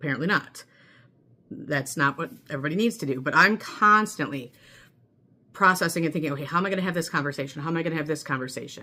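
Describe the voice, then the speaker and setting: In an American accent, a woman speaks at a very fast pace, her very deep, low voice bright and sharp in tone. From US Midwest. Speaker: mental health vlogger. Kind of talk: personal vlog monologue. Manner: chatty with many fillers.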